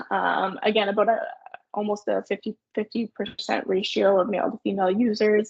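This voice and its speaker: A woman with a Canadian accent speaks at a fairly quick pace, her medium pitch held in fairly even intonation. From Canada, Sudbury Ontario. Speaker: marketing agency owner. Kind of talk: webinar presentation. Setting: online webinar. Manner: fast.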